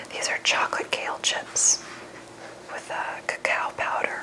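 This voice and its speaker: Noticeable background noise surrounds a woman who whispers at a moderate speed. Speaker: nutritionist and ASMR creator. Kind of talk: ASMR cookbook review, whispered relaxation talk.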